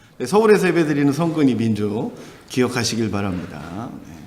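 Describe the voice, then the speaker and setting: The voice moves at a moderate pace with very wide pitch swings, and room echo can be heard. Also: man. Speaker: pastor. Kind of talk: sermon. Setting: church. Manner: animated.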